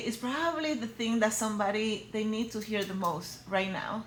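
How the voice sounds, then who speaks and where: Noticeable background noise sits behind a woman with a Spanish accent. Her pitch is fairly high, with ordinary variation. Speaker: personal brand coach for women. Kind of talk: motivational talk to camera. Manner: energetic, direct.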